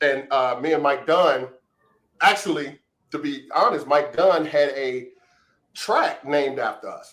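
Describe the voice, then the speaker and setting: A man's fairly high voice, fairly slow and evenly intoned, with long, frequent pauses. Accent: Chicago. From Chicago. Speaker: house music DJ, former dancer. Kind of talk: interview answer, storytelling. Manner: casual.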